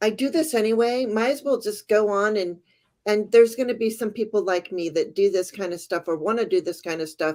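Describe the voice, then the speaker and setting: With a normal speaking voice, a woman talks at a moderate pace, her pitch fairly high and her intonation lively. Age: 60s. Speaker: tarot reader. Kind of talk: casual interview.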